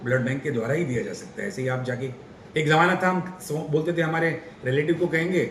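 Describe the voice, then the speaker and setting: Against noticeable background noise and audible room echo, a man talks in a fairly high pitch with ordinary pitch variation. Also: moderate pace. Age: 60s. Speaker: doctor. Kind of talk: interview.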